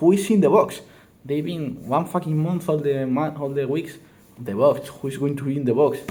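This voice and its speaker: This man has a fairly high pitch and a dark, mellow tone. He talks at a moderate pace with a Spanish accent. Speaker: wrestling commentator youtuber. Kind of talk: casual commentary monologue. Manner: halting, many fillers and restarts.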